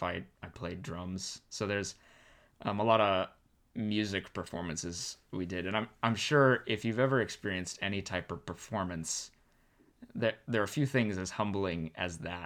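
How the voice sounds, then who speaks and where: A man with a normal speaking voice and an American accent, fairly low in pitch with ordinary pitch variation, on a very clean recording with a silent background. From Arizona. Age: 20s. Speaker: pastoral resident. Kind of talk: casual chat.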